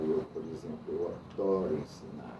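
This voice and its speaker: A man with a fairly low pitch is heard with audible room echo. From Amazonas, Brazil. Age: 60s. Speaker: artist and art director. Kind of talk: interview.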